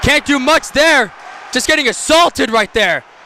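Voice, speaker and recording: A man's raised, projected voice at a fairly quick pace, with ordinary pitch variation, a dry, close sound with no echo, and noticeable background noise. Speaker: amateur hockey play-by-play commentator. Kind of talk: live sports commentary. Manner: stumbling over words at times.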